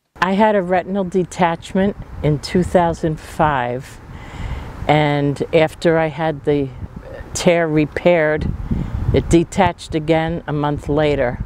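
A woman's very deep, low pitch at a fairly slow pace, with long, frequent pauses, fairly even intonation, a dry sound with no echo and noticeable background noise. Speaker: visually impaired retreat participant. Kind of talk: interview answer. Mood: calm, reflective. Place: street. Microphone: lapel.

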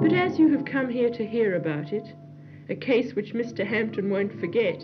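Background music behind a woman's speech. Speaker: film narrator. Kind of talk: film voice-over narration.

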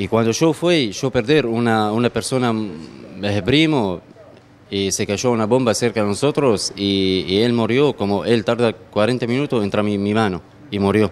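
Speaking with an Arabic accent, a man keeps a fairly slow pace. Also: fairly low pitch for a man, ordinary pitch variation. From Syria, Homs; Syria. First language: Arabic (speaking Spanish). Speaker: restaurant owner, immigrant. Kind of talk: interview. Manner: halting, repeats words. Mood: somber, reflective. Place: kitchen. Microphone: handheld.

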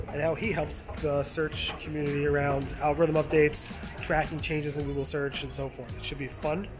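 The speaker is a man talking fairly quickly. Music plays clearly behind him. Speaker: SEO blogger and vlog host. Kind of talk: casual intro to camera. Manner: low energy, monotone. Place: hall. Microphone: phone near.

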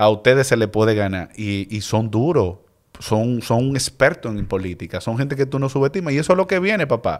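With an ordinary speaking voice, a man at a medium pitch talks at a fairly quick pace with lively intonation over a quiet background. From Dominican Republic. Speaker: political candidate; podcast guest, candidate. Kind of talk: interview. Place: studio. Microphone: studio mic.

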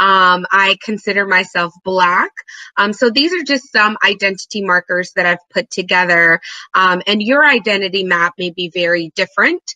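In an American accent, a woman with a bright, sharp tone is heard dry and without echo against a quiet background. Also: ordinary pitch variation, moderate pace. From Trinidad, then Georgia (US South) from age 10. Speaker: geneticist and pharma business manager; guest. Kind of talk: webinar presentation.

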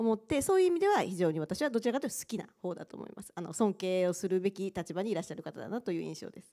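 In a dark, mellow tone, a woman speaks with very wide pitch swings. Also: quiet background. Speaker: university administrator. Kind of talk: panel discussion. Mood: polite, slightly cautious. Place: stage. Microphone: handheld.

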